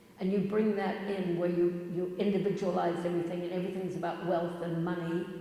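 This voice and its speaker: A woman's fairly low-pitched, fairly quick speech with monotone, flat intonation and hardly any pauses, amid noticeable background noise and audible room echo. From New Zealand, Auckland. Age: 70s. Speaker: public speaker. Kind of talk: public talk.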